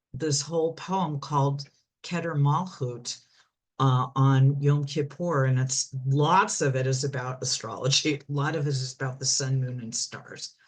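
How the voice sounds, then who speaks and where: A woman's very deep, low voice, somewhat breathy, with fairly even intonation at a fairly slow pace. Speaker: astrology speaker. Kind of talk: lecture.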